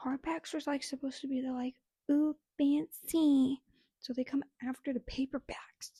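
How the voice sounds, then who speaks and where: A soft-spoken woman with a high pitch and a dark, mellow tone talks at a moderate pace. Her intonation is flat and monotone, and the sound is dry and close with no echo. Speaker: book vlogger. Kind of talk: casual chat.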